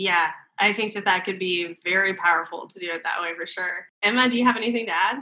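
A woman rushes along at a very fast pace, her medium-pitched voice showing ordinary pitch variation. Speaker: co-host. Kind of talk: casual panel chat.

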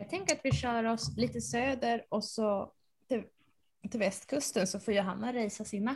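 A woman talks at a moderate pace in a fairly high voice, with lively intonation and some vocal fry. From Sweden, central Uppsala. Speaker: podcast co-host, knitter. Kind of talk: casual chat.

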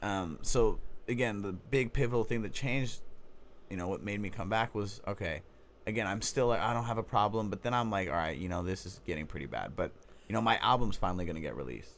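A man's fairly low-pitched voice with vocal fry and an American accent, at a very fast pace. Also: ordinary pitch variation. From Oakland, California. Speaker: recovering addict, former rapper, detox technician. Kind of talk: testimony. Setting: studio.

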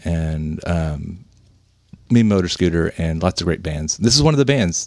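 With an American accent, a man speaks at a very deep, low pitch. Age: 50s. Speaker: podcast host. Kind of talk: casual chat.

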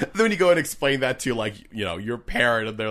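A loud voice with a bright, sharp tone and ordinary pitch variation. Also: man. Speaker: podcast co-host. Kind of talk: casual chat. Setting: outdoors at a picnic table.

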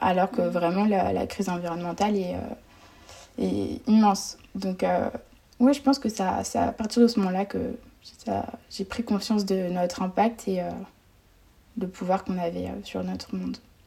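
A woman speaks at a moderate pace in a somewhat breathy voice with a dark, mellow tone, leaving long, frequent pauses. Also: medium pitch for a woman, ordinary pitch variation. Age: 20s. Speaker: student and nonprofit founder. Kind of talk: casual interview.

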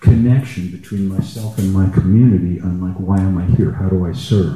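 Here a man has an ordinary speaking voice with a fairly low pitch. His pitch variation is ordinary. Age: 60s. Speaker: retired gong musician, participant. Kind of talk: personal sharing in group session. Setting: live event with audience and roving mic.

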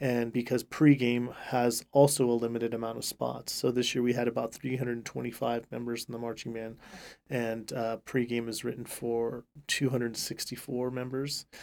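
Monotone, flat intonation at a moderate pace, in an American accent. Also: man, medium pitch for a man. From California, Central Valley. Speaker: marching band director. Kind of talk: casual interview.

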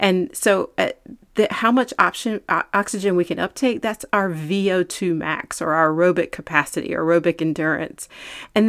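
A woman's normal speaking voice at medium pitch and moderate pace, with ordinary pitch variation, in a very clean recording with a silent background and a dry, close sound with no echo. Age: 40s. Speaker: fitness trainer and podcast host. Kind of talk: solo podcast talk. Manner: casual, with fillers.

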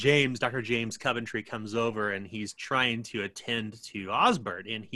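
Fairly even intonation while reading aloud in a natural voice

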